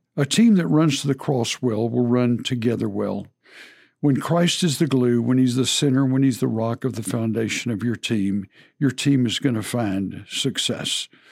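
Speaking with a Texan accent, a man uses a medium pitch, ordinary pitch variation and a moderate pace, in a very clean recording with a silent background. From Texas. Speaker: podcast host, former football coach. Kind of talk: casual chat.

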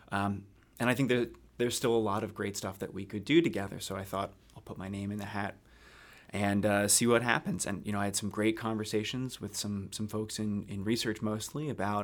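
With an American accent, a man has an unremarkable speaking voice, fairly low and fairly even in intonation, at a fairly quick pace. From US, South Jersey near Philadelphia. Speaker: health care quality researcher. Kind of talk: interview.

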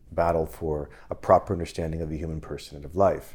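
A man with a very deep, low pitch and a dark, mellow tone talks at a fairly quick pace. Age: 40s. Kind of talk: casual chat.

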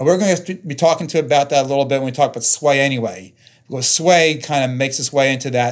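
Here is a man with an ordinary speaking voice, pitched fairly high. His pace is fairly quick, and his pitch variation is ordinary. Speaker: company president, sensor maker. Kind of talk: casual interview discussion.

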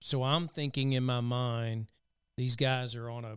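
A man speaks in a Southern US accent at a moderate pace. His intonation is monotone and flat. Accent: Southern twang. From US South. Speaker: podcast host. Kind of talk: casual interview conversation.

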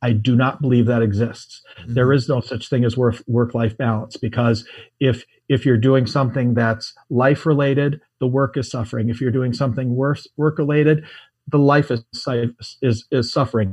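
A man's somewhat breathy voice at medium pitch, fairly even in intonation, against a quiet background. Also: moderate pace. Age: 50s. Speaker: ecommerce entrepreneur. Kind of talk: interview. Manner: halting, many fillers.

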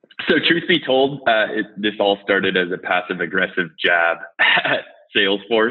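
In an American accent, a speaker uses a normal speaking voice at a moderate pace with lively intonation. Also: man, fairly low pitch for a man. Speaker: head of sales, army veteran. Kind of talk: casual interview.

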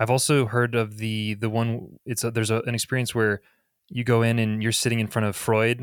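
In a very clean recording with a silent background, a man talks fairly quickly in a fairly low, normal speaking voice, the sound dry and close with no echo. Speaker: podcast co-host and marketing executive. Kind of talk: interview.

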